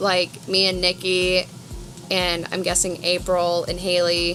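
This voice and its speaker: Over music in the background, a woman with an American accent speaks at a medium pitch and a very slow pace. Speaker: vlogger. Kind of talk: casual chat.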